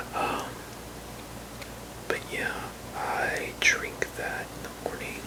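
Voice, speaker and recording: Whispering at a very slow pace, a man speaks in a relaxed tone over noticeable background noise. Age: 30s. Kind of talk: ASMR barber roleplay, casual talk to the listener. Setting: close-up whisper/ASMR recording at home. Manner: soft-spoken, relaxed, rambling.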